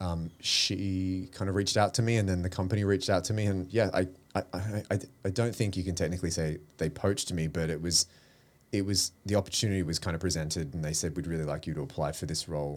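With an Australian accent, a man speaks very fast in a very deep, low voice with ordinary pitch variation. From Australia, Melbourne. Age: 40s. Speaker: creative director and publisher. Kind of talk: casual interview. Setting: studio.

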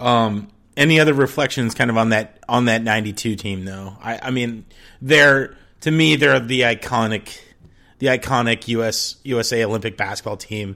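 A man speaks at a moderate pace in a bright, sharp tone, his medium pitch moving with ordinary variation, on a very clean recording with a silent background. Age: 30s. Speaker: basketball podcast host. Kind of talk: casual chat. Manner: animated.

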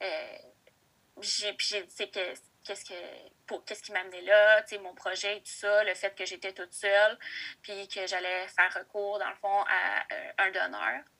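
With monotone, flat intonation, a woman at a medium pitch speaks at a fairly slow pace, taking long, frequent pauses, her loudness swinging widely. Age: 20s. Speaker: daycare educator sharing assisted reproduction story. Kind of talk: interview testimony. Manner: hesitant, many fillers.

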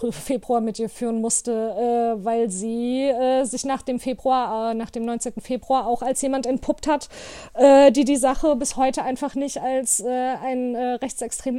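A woman's voice, high in pitch and dark and mellow in tone, moves with fairly even intonation. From Hanau, Hesse, Germany. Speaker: activist and artist. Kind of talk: interview. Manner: many hesitations (äh, ähm).

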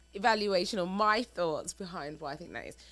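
With lively intonation, a woman speaks at a medium pitch in a bright, sharp tone. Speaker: married couple podcast co-host. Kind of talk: casual conversation, relationship advice.

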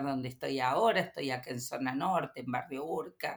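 In a Córdoba Argentine accent, a woman speaks with a very deep, low pitch and ordinary pitch variation. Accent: Cordoban Argentine Spanish. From Córdoba, Argentina. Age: 50s. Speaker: teacher and YouTuber. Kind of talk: interview. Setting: studio.

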